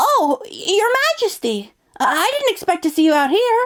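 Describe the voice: A woman does a cartoonish character voice that is squeaky and extremely high-pitched, with very wide pitch swings. Her pace is moderate and her loudness very even.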